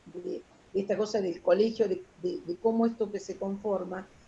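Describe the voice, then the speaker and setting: With a Rioplatense accent, a woman speaks in a somewhat breathy voice with a dark, mellow tone. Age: 60s. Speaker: retired social worker. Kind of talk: interview. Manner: halting.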